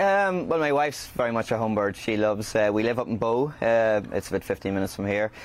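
Speaking very fast with hardly any pauses, a man with a Northern Irish accent keeps his loudness very even, his medium pitch varying in an ordinary way. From Northern Ireland, County Fermanagh. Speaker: chef and restaurant owner. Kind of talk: interview. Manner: halting.

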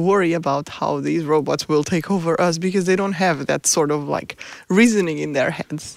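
This woman has a fairly low pitch and speaks with a Portuguese accent. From Portugal. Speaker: robotics professor. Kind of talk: interview.

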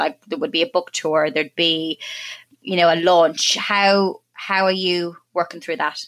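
A woman's plain, everyday voice, fairly low in pitch, with ordinary pitch variation at a moderate pace. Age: 30s. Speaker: podcast host. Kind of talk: casual chat.

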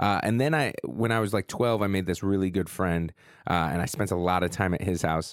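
In a very clean recording with a silent background, a man with a very deep, low pitch talks at a fairly quick pace, his loudness very even and his pitch varying in an ordinary way. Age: 30s. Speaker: podcast co-host. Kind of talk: casual chat.

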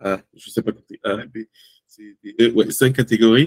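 A man speaks at a moderate pace with fairly even intonation and a somewhat breathy voice. The sound is dry and close, with no echo. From Togo. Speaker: amateur bodybuilder and content creator. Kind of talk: casual interview.

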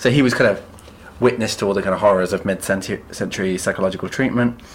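With an English accent, a man talks with ordinary pitch variation.

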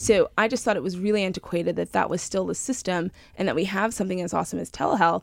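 Over a silent background in a very clean recording, a woman with an American accent speaks very fast at a medium pitch, with vocal fry and ordinary pitch variation. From Long Island, New York. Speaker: startup founder. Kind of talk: interview.

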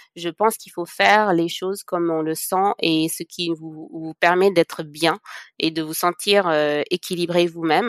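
With an ordinary speaking voice, a woman of fairly low pitch talks at a moderate pace with fairly even intonation and big swings in loudness, in a dry, close, very clean recording with no echo and a silent background. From Senegal. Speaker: cosmetics entrepreneur. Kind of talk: podcast interview.

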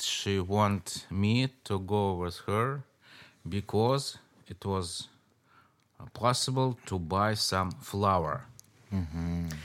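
A man in a Russian accent, fairly low-pitched with ordinary pitch variation, at a very slow pace on a very clean recording with a silent background. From Moscow, Russia. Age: 60s. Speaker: author. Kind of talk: interview conversation. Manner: animated, laughs often.

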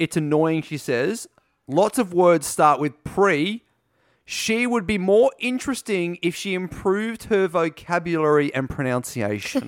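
Recorded very cleanly with a silent background, the speaker reads at a fairly slow pace in an Australian accent. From Gold Coast, Australia. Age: 30s. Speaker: podcast host. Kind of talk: casual chat.

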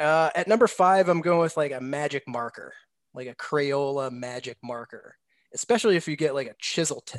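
A man with a normal speaking voice, fairly high in pitch, talks at a moderate pace with ordinary pitch variation, recorded dry and close with no echo against a quiet background. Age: 40s. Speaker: baseball prospect analyst. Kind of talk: casual chat.

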